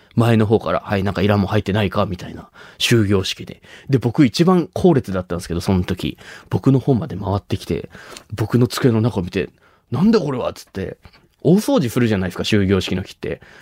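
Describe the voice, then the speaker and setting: This man's voice sits fairly low and moves at a fairly quick pace with lively intonation and big swings in loudness. The sound is dry and close, with no echo. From Nagasaki, Japan (Shimabara). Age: 20s. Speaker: comedian. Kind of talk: solo monologue. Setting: studio.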